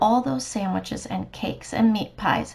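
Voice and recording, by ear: Someone reads text out loud in a natural-sounding voice.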